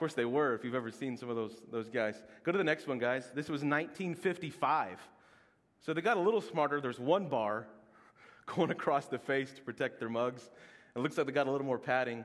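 With a plain, everyday voice, a man with an American accent talks at a fairly quick pace, his fairly high pitch showing ordinary variation while his loudness swings widely. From Oklahoma. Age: 30s. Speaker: pastor. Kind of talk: sermon. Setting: church.

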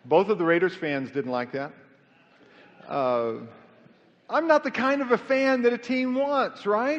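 Extremely high-pitched with very wide pitch swings, a man speaks in an American accent. His pace is fairly slow, with long, frequent pauses. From Kansas City, Missouri. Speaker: pastor. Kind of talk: sermon.

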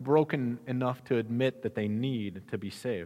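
This man has an American accent and a medium pitch. He talks at a moderate pace. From US Midwest. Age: 30s. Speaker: pastor. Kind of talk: sermon.

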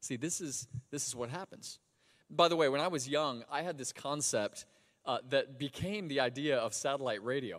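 A man with an American accent talks at a moderate pace in an ordinary speaking voice. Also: fairly high pitch for a man, ordinary pitch variation. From Florida. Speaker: pastor. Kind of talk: sermon. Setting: church.

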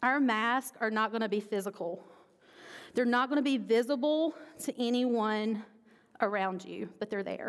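Speaking at a moderate pace with long, frequent pauses, a woman's fairly high voice shows ordinary pitch variation on a very clean recording with a silent background. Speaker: pastor. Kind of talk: sermon. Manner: loud.

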